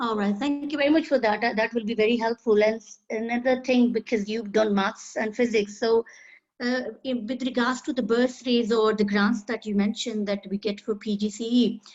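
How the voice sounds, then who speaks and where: With a Pakistani accent, a woman speaks at a fairly quick pace and fairly high pitch, keeping her intonation fairly even. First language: Urdu. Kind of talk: casual chat.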